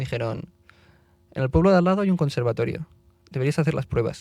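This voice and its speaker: With a Barcelona accent, a man speaks in a dark, mellow tone at a fairly high pitch, with ordinary pitch variation. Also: dry, close sound with no echo. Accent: Barcelona Spanish accent, kept. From Spain, Barcelona then Madrid area. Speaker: classical musician and conductor. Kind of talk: podcast interview, casual chat. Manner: animated, chatty.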